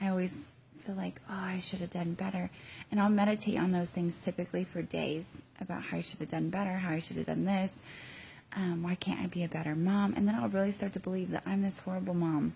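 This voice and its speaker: A woman speaks quietly and very fast at medium pitch, somewhat breathy, with a dark, mellow tone and fairly even intonation. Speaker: mom vlogger and teacher. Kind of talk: casual vlog. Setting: hotel room. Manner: halting with many ums.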